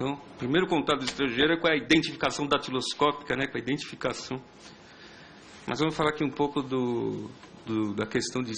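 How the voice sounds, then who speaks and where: A man speaks at a medium pitch with fairly even intonation. He has a normal speaking voice. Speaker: police intelligence officer. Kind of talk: public hearing presentation. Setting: public hearing with audience.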